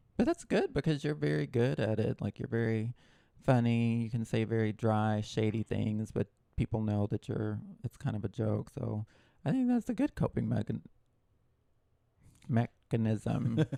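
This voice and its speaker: A man talks at a moderate pace with long, frequent pauses. The sound is dry and close, with no echo. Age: middle-aged. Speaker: podcast co-host. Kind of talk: casual chat.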